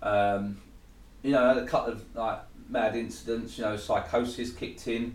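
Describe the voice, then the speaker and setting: Audible room echo surrounds delivery at a moderate pace. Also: man. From Essex, England (Thurrock). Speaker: recovering addict sharing his story. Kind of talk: testimony.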